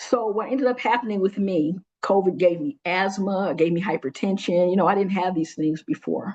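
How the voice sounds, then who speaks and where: A woman speaks with a Detroit accent at a medium pitch. Her pace is moderate, and her pitch varies in an ordinary way. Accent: Detroit American English. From US Midwest, Detroit. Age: 60s. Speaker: social worker. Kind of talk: personal testimony presentation.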